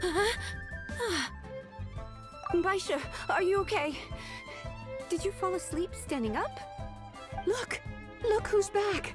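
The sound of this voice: Doing a put-on character voice, a woman speaks with an extremely high pitch and lively intonation at a slow pace, pausing long and often, as clear music plays in the background.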